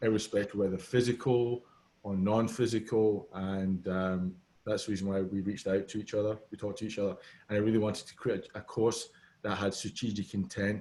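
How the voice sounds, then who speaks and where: With a Scottish accent, a man speaks at a fairly low pitch in a dark, mellow tone. His intonation is fairly even and his pace fairly quick. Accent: Scottish accent, noticeable. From Scotland. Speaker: business consultant. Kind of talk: casual interview.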